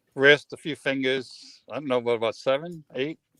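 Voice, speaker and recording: The recording of this man's fairly high-pitched voice is dry and close, with no echo. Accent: American. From Boston. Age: 60s. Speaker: stuntman and musician. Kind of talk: casual interview. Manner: halting.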